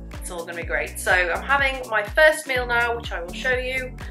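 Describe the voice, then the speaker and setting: The talking is fairly quick, with clear music playing behind it. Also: woman. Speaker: fitness vlogger. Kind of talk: casual vlog chat. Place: kitchen. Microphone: phone near.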